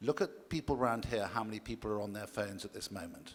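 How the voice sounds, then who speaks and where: At a very fast pace, a man with an English accent speaks at a medium pitch with ordinary pitch variation. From England. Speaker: conference panelist, diamond industry expert. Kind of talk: panel discussion.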